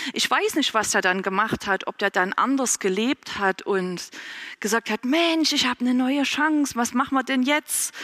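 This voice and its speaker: A woman speaks at a moderate pace and a high pitch, with lively intonation. Her loudness stays very even, and the sound is dry and close with no echo. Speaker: preacher. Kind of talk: sermon, addressing a congregation in a warm, conversational way. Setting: church. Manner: conversational, informal, relaxed; earnest and encouraging, with a closing blessing.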